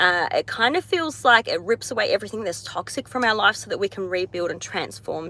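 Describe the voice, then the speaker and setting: A woman with an Australian accent speaks at a fairly quick pace in a bright, sharp tone, with a dry, close sound and no echo. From Australia, Tasmania. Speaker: astrologer. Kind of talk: live stream chat. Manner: casual, hesitant with many fillers.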